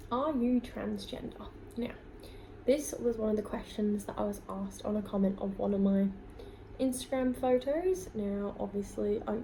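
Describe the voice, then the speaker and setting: A woman's fairly high voice with ordinary pitch variation at a moderate pace, plus audible room echo and noticeable background noise. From UK, England and Scotland (army family). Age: 20s. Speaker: beauty vlogger. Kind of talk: casual Q&A vlog.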